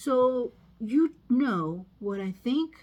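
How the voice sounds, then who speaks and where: A woman puts on a character voice at a fairly high pitch on a very clean recording with a silent background. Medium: read story.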